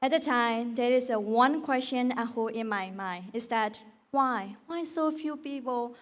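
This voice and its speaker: Speaking at a fairly slow pace, a woman with a Burmese accent has a high voice. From Myanmar. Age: 20s. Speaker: beauty pageant contestant. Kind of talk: prepared speech. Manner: halting.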